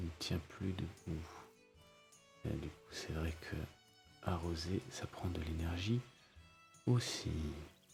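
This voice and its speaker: Over music in the background, a man whispers at a very slow pace, leaving long, frequent pauses. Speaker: ASMR gaming creator. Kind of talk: ASMR let's play commentary. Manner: whispered.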